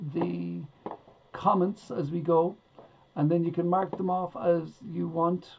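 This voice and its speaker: A woman with an Irish accent speaks fairly slowly at a fairly low pitch, with noticeable background noise. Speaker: online quiz host. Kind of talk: live-streamed quiz hosting. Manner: casual, chatty.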